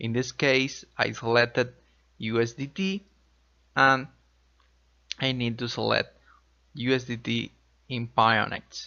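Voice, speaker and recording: A man speaks with a Spanish accent at a fairly slow pace. His intonation is fairly even, broken by long, frequent pauses. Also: medium pitch for a man. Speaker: crypto tutorial youtuber. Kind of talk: tutorial.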